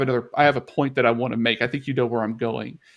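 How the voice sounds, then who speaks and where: Speech comes at a very fast pace. The recording is very clean, with a silent background. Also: man. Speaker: software architect. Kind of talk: panel discussion.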